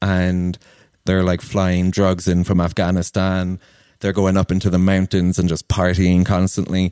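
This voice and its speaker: On a very clean recording with a silent background, a man with an American accent speaks at a moderate pace in a very deep, low pitch. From Ireland. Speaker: traveler and digital nomad living in Kenya. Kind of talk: podcast interview.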